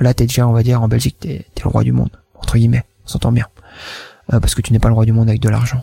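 A man with a medium pitch and fairly even intonation speaks at a very fast pace broken by long, frequent pauses, with a dry, close sound with no echo. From Wallonia, Belgium (Namur province). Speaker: entrepreneur. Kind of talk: interview. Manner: hesitant, many fillers.

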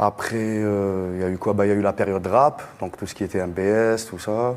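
Speaking fairly slowly, a man keeps a fairly low pitch and fairly even intonation. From Algiers region, Algeria. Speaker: musician, band leader. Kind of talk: panel discussion. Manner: casual.

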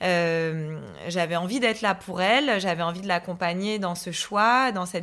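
Fairly slow speech from a woman, medium in pitch, with ordinary pitch variation. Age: 30s. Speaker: woman sharing her hereditary cancer gene story. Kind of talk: personal testimony. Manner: hesitant, many fillers.

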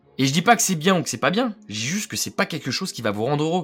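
Very wide pitch swings and vocal fry from a man with a fairly high voice, on a very clean recording with a silent background. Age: 20s. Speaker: podcast host, young entrepreneur. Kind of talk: casual monologue. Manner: casual, conversational.

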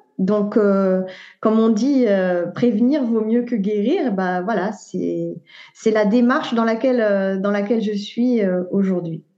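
Very slowly, a woman speaks at a medium pitch with ordinary variation and a dark, mellow tone. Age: 40s. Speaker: naturopath and author. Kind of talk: interview. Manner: halting.

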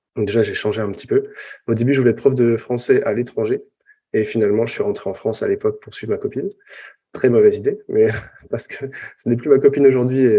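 A man is speaking. He goes very fast. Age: 40s. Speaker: copywriter and former recruiter. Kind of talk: interview.

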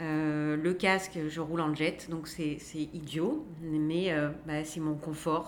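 A woman's very deep, low voice at a very slow pace, monotone and flat, with audible room echo. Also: hardly any pauses. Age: 40s. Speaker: motorcyclist sharing accident story. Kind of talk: casual chat.

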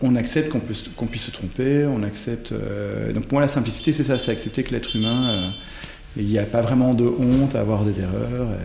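Talking at a fairly quick pace, a man with a medium-pitched voice and ordinary pitch variation is heard with room echo and noticeable background noise. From Belgium (born in Ghent). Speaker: coach and writer. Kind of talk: interview conversation. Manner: hesitant, many fillers.

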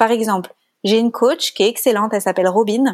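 In a very clean recording with a silent background, a woman with an ordinary speaking voice talks at a fairly quick pace, her pitch fairly high with ordinary pitch variation. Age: 30s. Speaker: life coach. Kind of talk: casual interview.

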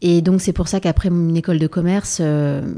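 Her pitch is fairly low and her tone dark and mellow. The woman keeps a moderate pace with fairly even intonation. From Provence, southern France. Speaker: entrepreneur, founder of a luxury brand. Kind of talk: interview. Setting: in a shop.

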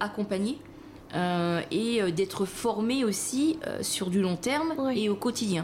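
Her voice is fairly high and somewhat breathy. The woman speaks at a fairly slow pace with lively intonation. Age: 40s. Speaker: pastry chef. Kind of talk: interview.

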